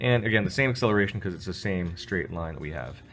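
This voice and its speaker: Music plays in the background as a man talks very fast with lively intonation. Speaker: physics teacher. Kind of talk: tutorial.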